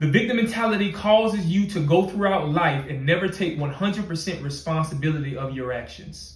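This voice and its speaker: Lively intonation from a man with a somewhat breathy voice, at a moderate pace. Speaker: podcast host, motivational speaker. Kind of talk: motivational talk.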